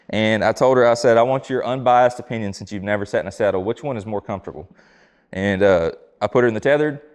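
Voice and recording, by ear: The pitch varies in an ordinary way, with a slightly mellow tone. The pace is fast. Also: man, fairly low pitch for a man.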